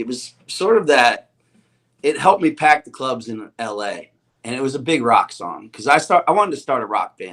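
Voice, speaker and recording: Here is an ordinary speaking voice: a man with an American accent. He keeps a moderate pace with lively intonation. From Pennsylvania, Chester County. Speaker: singer-songwriter. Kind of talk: casual interview chat.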